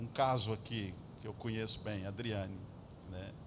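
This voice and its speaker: A man speaks at a very slow pace with vocal fry. Audible room echo surrounds his voice. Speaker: pastor. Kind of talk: sermon. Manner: animated.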